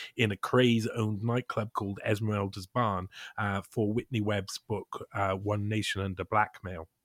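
A man speaks at a moderate pace in a fairly low pitch, with ordinary pitch variation. The recording is very clean and dry, close with no echo, over a silent background. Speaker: investigative writer. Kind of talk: podcast interview. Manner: halting.

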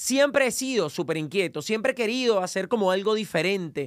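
With a Venezuelan accent, a man speaks at a high pitch in an energetic tone. His intonation is lively. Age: 30s. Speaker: podcast host and entrepreneur. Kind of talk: motivational monologue.

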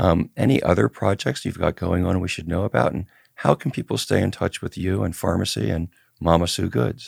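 A man with a very deep, low pitch and vocal fry talks at a fairly quick pace, swinging very widely in pitch, in a dry, close sound with no echo. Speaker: podcast host and cannabis activist. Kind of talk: interview; scripted narration.

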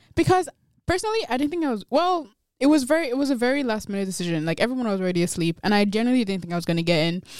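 Talking very fast with a slight Nigerian accent, a woman sounds animated, her fairly high pitch making very wide swings. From Nigeria, Kogi State. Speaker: guest. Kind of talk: casual chat.

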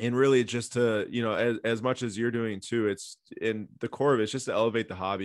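In a normal speaking voice, a man of medium pitch talks with fairly even intonation over a quiet background. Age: 20s. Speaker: founder of a sports card news outlet. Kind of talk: casual interview.

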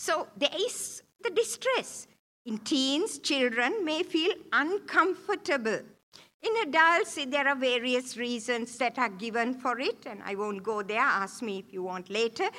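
A woman projects her voice at a high pitch, with very wide pitch swings and a bright, sharp tone. Her pace is fairly slow. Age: 70s. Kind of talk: church talk. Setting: church.

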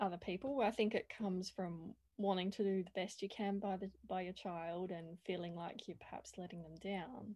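Speaking in an Australian accent at a fairly slow pace, a woman with a medium-pitched, dark, mellow voice keeps fairly even intonation on a very clean recording with a silent background. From South Australia, Adelaide. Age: 40s. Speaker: visual artist. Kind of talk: casual interview.

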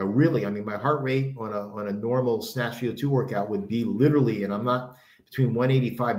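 A man speaks with a normal speaking voice at a moderate pace. His pitch is medium, with ordinary pitch variation. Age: 60s. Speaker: kettlebell coach and former powerlifter. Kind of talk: casual chat.

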